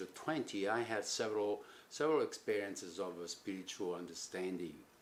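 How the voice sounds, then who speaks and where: With an Italian accent, a man speaks at a fairly quick pace with lively intonation. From Italy, Rome. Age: 70s. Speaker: sculptor. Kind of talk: personal reflection. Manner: halting.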